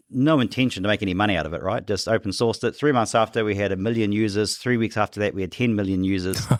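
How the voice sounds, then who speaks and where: Fairly low in pitch with ordinary pitch variation, a man with a New Zealand accent is heard in a very clean recording over a silent background. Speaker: tech company CEO. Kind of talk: podcast interview. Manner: repetitive false starts.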